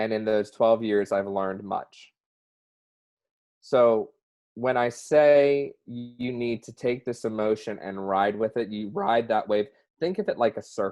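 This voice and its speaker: A man with a Southern US accent, ordinary pitch variation and a fairly slow pace. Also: medium pitch for a man. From US South. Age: 30s. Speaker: mental health advocate. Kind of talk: interview.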